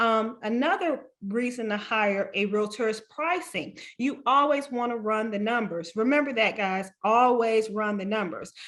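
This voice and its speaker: A woman with an unremarkable speaking voice talks at a fairly slow pace, fairly high in pitch with ordinary pitch variation. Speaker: realtor. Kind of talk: webinar presentation.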